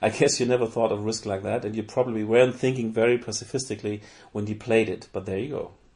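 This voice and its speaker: A man rattles off his words very fast in a monotone, flat intonation. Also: medium pitch for a man. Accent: German. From Germany. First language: German. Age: 40s. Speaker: board game news correspondent. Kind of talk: scripted essay reading.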